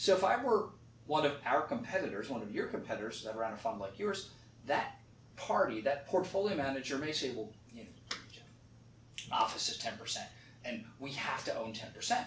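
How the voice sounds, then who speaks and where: In a room with audible echo, a man with a fairly high voice talks fairly quickly and in an animated tone, with very wide pitch swings, big swings in loudness and long, frequent pauses. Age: 60s. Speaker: real estate fund manager. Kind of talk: interview.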